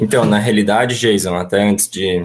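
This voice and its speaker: A man with a normal speaking voice talks at a fairly low pitch and a moderate pace. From São Paulo. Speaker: auto parts business owner. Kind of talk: panel discussion.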